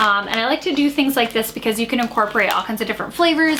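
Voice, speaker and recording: Over noticeable background noise, a woman talks at a very fast pace in a fairly high pitch with ordinary pitch variation. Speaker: lifestyle vlogger. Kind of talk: casual chat. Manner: animated.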